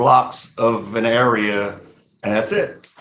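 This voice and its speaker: A man's very slow delivery with fairly even intonation and audible room echo. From South Louisiana (Vatican, Lafayette Parish). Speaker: country singer. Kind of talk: interview.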